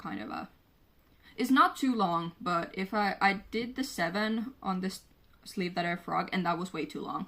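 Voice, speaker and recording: At a fairly slow pace, a woman speaks at a medium pitch with a bright, sharp tone. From Finland. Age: 20s. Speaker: knitter. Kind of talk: casual podcast talk to camera. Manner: casual, chatty.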